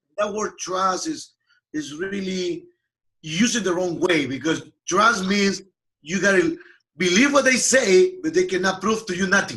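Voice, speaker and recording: A man with a Peruvian accent uses a raised, projected voice with a bright, sharp tone at high pitch. He talks at a fairly slow pace with lively intonation. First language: Spanish. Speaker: software company founder and CEO. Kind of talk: interview.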